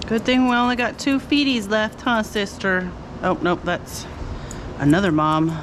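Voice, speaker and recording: A woman with a fairly high pitch speaks with lively intonation and very even loudness. Noticeable background noise can be heard. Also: moderate pace. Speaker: dog groomer. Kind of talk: casual narration while grooming a dog.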